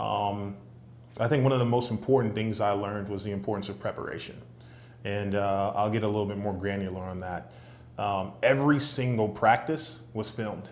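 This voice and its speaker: Someone with an American accent talks at a fairly quick pace with ordinary pitch variation, and room echo can be heard. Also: man, fairly low pitch for a man. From New York City, Brooklyn. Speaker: sales executive and entrepreneur. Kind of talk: interview.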